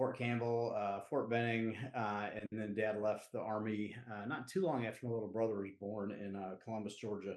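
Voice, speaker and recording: A man with a Southern US accent talks in a fairly low pitch. He leaves hardly any pauses. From US Southeast. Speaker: recovery advocate and community leader. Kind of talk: podcast interview. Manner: casual, halting with fillers.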